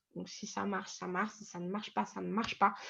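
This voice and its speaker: A woman's voice at a moderate pace. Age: 20s. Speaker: trading coach. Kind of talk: tutorial. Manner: hesitant, many fillers.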